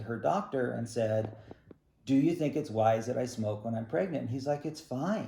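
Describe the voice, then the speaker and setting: The pitch moves in an ordinary way. The tone is dark and mellow. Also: man. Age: 60s. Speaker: ballet teacher and studio owner. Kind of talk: recorded statement to parents and students. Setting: video call. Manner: casual, halting with fillers.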